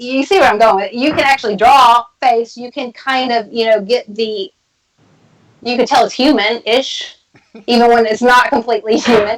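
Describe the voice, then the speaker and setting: Here is a woman with a Texas accent and a high voice. She keeps a moderate pace and fairly even intonation. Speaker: tarot reader and occult practitioner. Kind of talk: casual chat.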